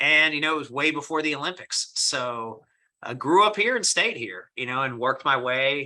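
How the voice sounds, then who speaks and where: A man speaks with a bright, sharp tone and a fairly high pitch. His intonation is lively and his pace moderate. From US South, inner city Atlanta, Cuban immigrant family. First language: Spanish. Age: 40s. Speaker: mortgage company executive. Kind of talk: podcast interview.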